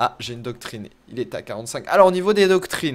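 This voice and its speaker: Here a man talks at a very fast pace. His pitch shows ordinary variation. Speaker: gaming youtuber. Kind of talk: let's play commentary. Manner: hesitant, many fillers.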